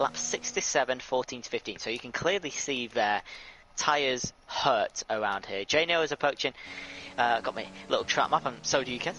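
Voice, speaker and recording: With a British accent, a man talks at a moderate pace and medium pitch. His intonation is lively. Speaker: sim racing co-commentator. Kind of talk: live commentary. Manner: talking quietly.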